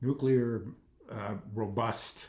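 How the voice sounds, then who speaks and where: This man's voice sits at a medium pitch and has a dark, mellow tone. His pitch varies in an ordinary way. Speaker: commentary video maker. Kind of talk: casual monologue vlog. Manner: halting, many fillers.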